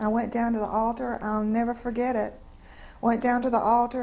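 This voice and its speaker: With a Southern US accent, a woman talks at a fairly high pitch. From North Carolina, US South. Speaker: interviewee sharing faith story. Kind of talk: testimony. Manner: halting.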